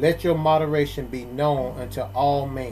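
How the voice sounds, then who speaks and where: A man at a very slow pace over music in the background. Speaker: pastor leading prayer hour. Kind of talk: group prayer service. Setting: online prayer call.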